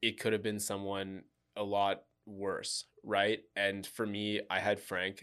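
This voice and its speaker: A man's voice, fairly low in pitch, with a bright, sharp tone and flat, monotone intonation. The recording is very clean, with a silent background. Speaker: shooting survivor and marathon runner. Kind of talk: casual interview.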